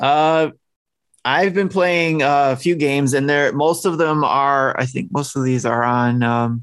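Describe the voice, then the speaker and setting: A man's plain, everyday voice at a moderate pace, with ordinary pitch variation and a quiet background. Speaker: podcast co-host. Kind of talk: casual chat.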